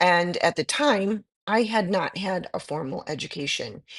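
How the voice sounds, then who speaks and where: A woman's ordinary speaking voice, fairly low in pitch, fairly slow and with lively intonation, in a dry, close recording with no echo over a quiet background. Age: 50s. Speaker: aesthetic nurse. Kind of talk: interview.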